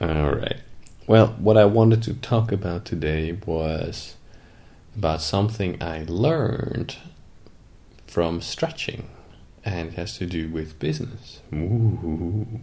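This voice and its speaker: A man talks at a very slow pace with long, frequent pauses, in a very deep, low pitch with ordinary pitch variation. His tone is dark, mellow and somewhat breathy, with audible room echo. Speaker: podcast co-host, business coach. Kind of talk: casual chat.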